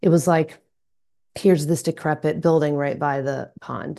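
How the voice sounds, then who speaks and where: With an American accent, a woman speaks at a moderate pace in a dark, mellow tone with vocal fry. The background is quiet. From US South, Atlanta, Georgia. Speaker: local party committee chair. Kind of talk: interview conversation.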